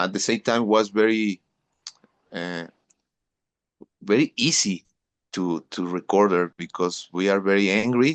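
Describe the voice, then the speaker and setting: With a Mexican accent, a man talks very slowly in a fairly low voice with ordinary pitch variation, the sound dry and close with no echo. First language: Spanish. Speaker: metal drummer. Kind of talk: interview. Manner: halting, repeats words.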